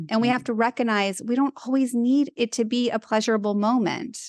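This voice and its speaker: A plain, everyday voice talks at a fairly quick pace with ordinary pitch variation. The sound is dry and close with no echo, over a quiet background. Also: woman. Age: 50s. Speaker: dietitian and author. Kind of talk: casual interview.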